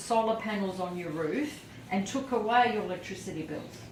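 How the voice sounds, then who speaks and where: A woman with a fairly high pitch talks at a moderate pace with ordinary pitch variation over noticeable background noise. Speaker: charity foundation representative. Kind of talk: interviewer questions.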